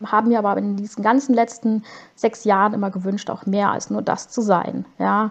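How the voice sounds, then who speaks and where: A woman with an unremarkable speaking voice, fairly high in pitch, at a moderate pace with ordinary pitch variation. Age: 30s. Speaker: caregiving mother and blogger. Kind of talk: podcast interview.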